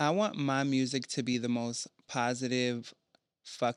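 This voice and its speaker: In a dry, close recording with no echo, a man with an ordinary speaking voice and an American accent speaks at a fairly slow pace, medium in pitch and fairly even in intonation. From rural Maryland Eastern Shore. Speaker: underground musician. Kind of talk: casual chat. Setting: studio.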